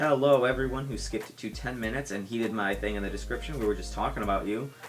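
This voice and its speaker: The speaker talks at a very fast pace with a slight Midwestern accent. Noticeable background noise and audible room echo are present. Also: man. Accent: slight Midwest. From US Midwest, Michigan. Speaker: YouTuber and podcast host. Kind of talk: casual solo podcast talk. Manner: rambling, animated.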